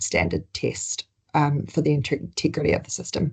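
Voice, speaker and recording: A woman with a New Zealand accent, a very deep, low pitch, vocal fry, and ordinary pitch variation. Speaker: healthcare sustainability presenter. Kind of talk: webinar presentation.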